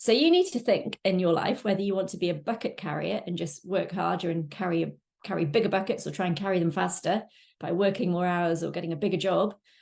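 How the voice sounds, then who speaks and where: Talking at a very fast pace, a woman shows vocal fry and ordinary pitch variation. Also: medium pitch for a woman, quiet background. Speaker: online business course presenter. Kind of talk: webinar sales presentation. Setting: live webinar with chat.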